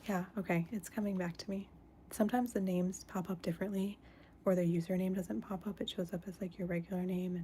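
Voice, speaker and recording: Very fast and somewhat breathy, a woman's medium-pitched voice has a dark, mellow tone and fairly even intonation. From United States. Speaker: stained glass artist and live streamer. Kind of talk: casual livestream chat while crafting. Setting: indoors, live stream. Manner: speaking softer than usual.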